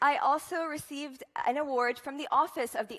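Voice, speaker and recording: An animated, high-pitched woman's voice with an Arabic accent at a fairly quick pace. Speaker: student speaker. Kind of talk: inspirational talk.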